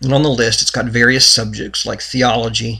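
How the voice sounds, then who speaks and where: Medium in pitch, a man talks with intonation that stays fairly flat. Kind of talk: religious commentary talk to camera.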